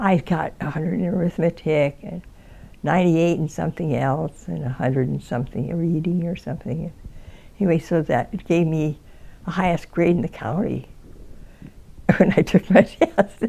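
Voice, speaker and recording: Pausing long and often, a woman with an American accent speaks at a fairly low pitch in a dark, mellow tone with vocal fry and ordinary pitch variation. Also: moderate pace. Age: 80s+. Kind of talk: interview answer. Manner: hesitant, rambling.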